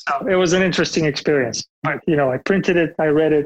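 A man with a Bulgarian accent speaks at a fairly high pitch and moderate pace, his intonation fairly even, in a dry, close sound with no echo. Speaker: software engineering manager. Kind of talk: interview.

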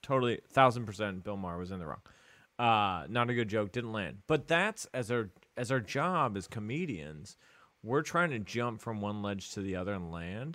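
At a moderate pace, a man talks with a fairly low pitch and lively intonation. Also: very clean recording, silent background. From England, moved to St. Louis at ten. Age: 30s. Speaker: stand-up comedian. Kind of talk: casual chat.

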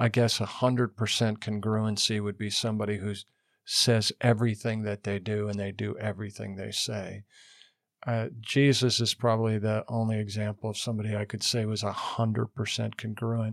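A man speaks at a moderate pace and a fairly low pitch with monotone, flat intonation, in a very clean recording with a silent background and a dry, close sound with no echo. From western Montana, US. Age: 60s. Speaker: pastor. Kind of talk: casual interview. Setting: studio.

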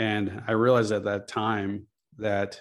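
A man with an American accent, fairly low pitch and monotone, flat intonation, against a quiet background. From Chicago. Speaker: architect and self-storage investor. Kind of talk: interview.

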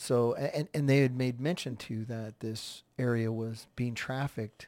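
A man with an American accent talks at a moderate pace in a medium pitch, with an unremarkable speaking voice and fairly even intonation. The recording is very clean, with a silent background. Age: 40s. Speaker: podcast host. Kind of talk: solo commentary podcast.

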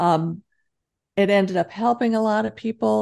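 Against a quiet background, a woman with a dark, mellow tone talks at a moderate pace. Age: 60s. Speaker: author and entrepreneur. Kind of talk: interview.

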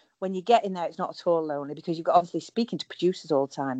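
A woman's fairly low voice with a dark, mellow tone at a very fast pace. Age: 50s. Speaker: reality TV contestant. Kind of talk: casual chat. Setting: phone call.

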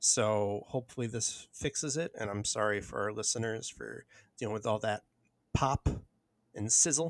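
Vocal fry runs through this man's voice. The recording is very clean, with a silent background. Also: fairly low pitch for a man, ordinary pitch variation, moderate pace. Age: 30s. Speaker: podcast host. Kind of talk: casual chat.

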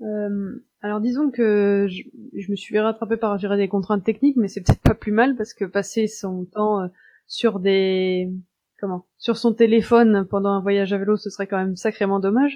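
A woman of medium pitch keeps her intonation fairly even and her speed moderate. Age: 30s. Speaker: urban planner and first-time cycle tourist. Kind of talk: interview. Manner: hesitant, many fillers.

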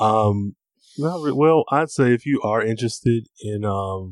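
Against a quiet background, a man with an ordinary speaking voice talks at a fairly low pitch with ordinary pitch variation, in a dry, close sound with no echo. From Michigan. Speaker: podcaster. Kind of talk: casual chat.

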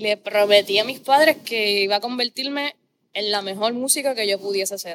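A woman has an ordinary speaking voice, fairly high in pitch with ordinary variation. The sound is dry and close, with no echo. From Puerto Rico, Corozal. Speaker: opera singer. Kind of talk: casual interview chat.

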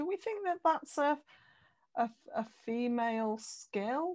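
Fairly high-pitched woman at a fairly slow pace, lively intonation, quiet background. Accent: British. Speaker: podcast host. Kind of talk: casual interview.

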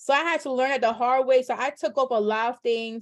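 Against a quiet background, a woman with a New York accent speaks in a high voice. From New York, the Bronx. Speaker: loan signing agent and entrepreneur. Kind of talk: casual interview.

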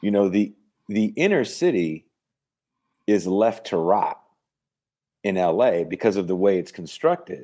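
A man with an American accent, fairly low in pitch with a dark, mellow tone, lively intonation and a fairly slow pace, on a very clean recording with a silent background. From San Francisco Bay Area, California. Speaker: podcaster and metal band singer. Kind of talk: casual interview.

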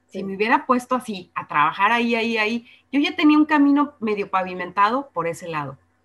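The speech runs at a very fast pace with very wide pitch swings. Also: woman, fairly high pitch for a woman. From Guadalajara, Mexico. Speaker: radio presenter. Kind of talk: casual interview.

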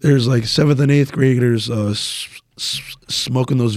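With an American accent, a man of medium pitch speaks at a moderate pace with fairly even intonation in an ordinary speaking voice. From New Jersey, Woodbridge. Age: 20s. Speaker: powerlifter and coach. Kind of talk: casual chat.

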